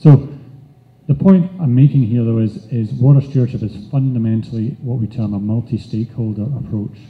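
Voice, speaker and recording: Here a man speaks with a Scottish accent at a fairly quick pace. His pitch variation is ordinary. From Scotland. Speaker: nonprofit chief executive; conference presenter. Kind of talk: conference presentation. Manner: halting, with fillers. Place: hall.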